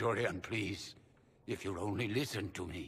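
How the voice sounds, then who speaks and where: Using a raspy, put-on character voice, a man speaks at a moderate pace with a fairly low pitch. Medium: video game. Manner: formal, restrained.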